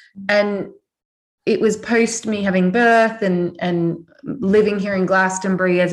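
A woman with an Australian accent, medium in pitch, her intonation fairly even. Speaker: author, spiritual teacher. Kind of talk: casual chat. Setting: video call.

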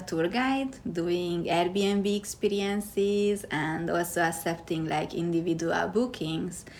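Using a Hungarian accent, a woman speaks at a medium pitch with ordinary pitch variation. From Hungary. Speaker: tour guide. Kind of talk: interview. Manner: halting, with fillers.

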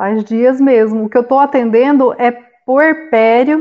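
A woman talks fairly slowly in a high voice, her pitch varying in an ordinary way. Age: 40s. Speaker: doula and therapist. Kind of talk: panel discussion.

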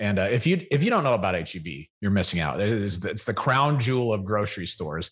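A man in a normal speaking voice, fairly quick pace and lively intonation, against a quiet background. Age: 30s. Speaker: podcast co-host. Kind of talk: casual chat.

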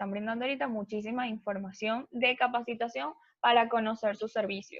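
At a fairly slow pace, a woman with an unremarkable speaking voice talks at a fairly high pitch with fairly even intonation. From Venezuela. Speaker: travel agency owner. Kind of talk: interview.

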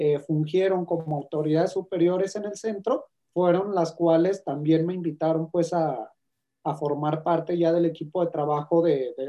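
A man with a Mexican accent speaks at a fairly slow pace in a fairly high pitch, with ordinary pitch variation. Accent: Mexican Spanish (Jalisco). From Mexico, Guadalajara, Jalisco. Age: 30s. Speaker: university program coordinator. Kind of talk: interview.

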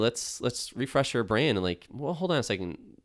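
On a very clean recording with a silent background, a man with a Western New York accent talks at a fairly quick pace with very wide pitch swings. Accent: Western New York (Inland North) American. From Buffalo, New York. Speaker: graphic designer and business owner. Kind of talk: interview.

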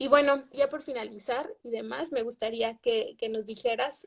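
Very slow, high-pitched woman's voice with fairly even intonation. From Mexico. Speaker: livestream host. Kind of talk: casual interview. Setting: livestream.

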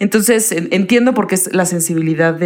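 Speaking with a Mexican accent, a woman keeps a moderate pace and ordinary pitch variation. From Puebla, Mexico. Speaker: podcast co-host. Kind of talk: casual chat.

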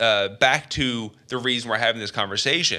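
On a very clean recording with a silent background, a man speaks at a fairly slow pace in a medium-pitched voice with a bright, sharp tone. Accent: Canadian. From Canada. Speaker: gaming podcast co-host. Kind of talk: casual chat. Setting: studio.

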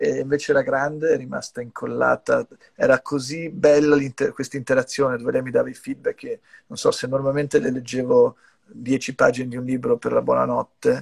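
A man with an English accent talks at a fairly quick pace, his loudness swinging widely, in a dry, close recording with no echo. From US, New York. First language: English (speaking Italian). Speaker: company executive. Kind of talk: casual interview. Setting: video call from brother's home music studio. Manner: halting, many repetitions.

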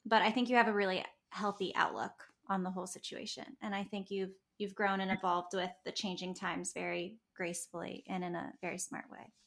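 A woman with an unremarkable speaking voice, medium pitch, fairly even intonation, a fairly quick pace and big swings in loudness. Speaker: podcast host. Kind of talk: interview.

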